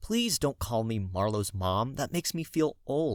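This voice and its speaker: A man puts on a character voice with lively intonation, speaking at a medium pitch and a moderate pace. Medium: read story.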